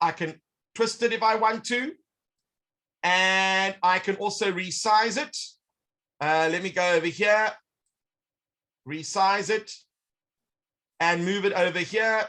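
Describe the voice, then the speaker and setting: A man speaks in a raised, projected voice, high in pitch, with a bright, sharp tone. He goes at a fairly slow pace with long, frequent pauses and ordinary pitch variation. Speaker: educational technology presenter. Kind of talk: online workshop demonstration. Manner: animated.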